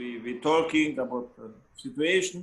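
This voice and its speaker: A man with a Hungarian accent speaks at a fairly high pitch. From Hungary. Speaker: trumpet player and teacher. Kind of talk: interview. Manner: halting, with many repetitions.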